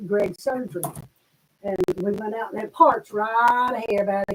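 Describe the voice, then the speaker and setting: A woman with an Arkansas accent, fairly high-pitched, at a fairly slow pace, with ordinary pitch variation. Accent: Southern US (Arkansas). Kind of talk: casual chat. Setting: shop.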